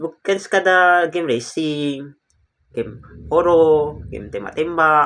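The voice has a bright, sharp tone and ordinary pitch variation. It moves at a very slow pace. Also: man, fairly high pitch for a man. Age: 20s. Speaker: gaming YouTuber. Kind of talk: casual commentary video. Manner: halting.

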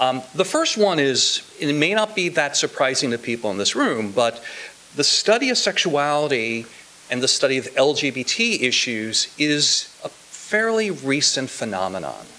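Very wide pitch swings mark a man's fairly high-pitched voice, spoken with an American accent. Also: fairly slow pace. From Indiana, US Midwest. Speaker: sociology professor. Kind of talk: academic commentary. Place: classroom. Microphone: podium.

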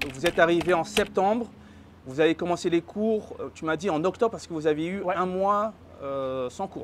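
Light background noise sits behind a man speaking at a moderate pace. His voice is high-pitched, with ordinary pitch variation. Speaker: travel and expat channel host; expat channel host. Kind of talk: casual interview. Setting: on location in an apartment.

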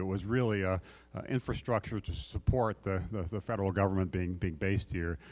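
Fairly low in pitch, a man speaks fairly quickly in a normal speaking voice with fairly even intonation. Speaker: conference speaker. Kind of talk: keynote talk. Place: stage. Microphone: handheld.

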